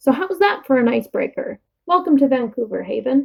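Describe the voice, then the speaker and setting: Using a put-on character voice, a woman speaks high with very wide pitch swings. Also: fairly quick pace. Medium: read story. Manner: jovial, loud.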